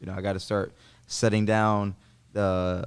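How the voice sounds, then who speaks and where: In a very clean recording with a silent background, a man with an American accent and a normal speaking voice talks at a moderate pace and a fairly low pitch. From New York City. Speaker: jiu-jitsu champion. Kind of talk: casual chat.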